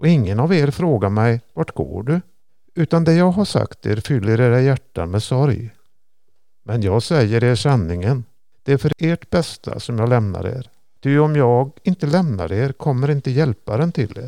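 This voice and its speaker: A man's medium-pitched voice in a dark, mellow tone, with lively intonation and a moderate pace, recorded dry and close with no echo in a very clean recording with a silent background. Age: 70s. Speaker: retiree and church volunteer. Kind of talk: reading scripture aloud. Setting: organ loft in a church.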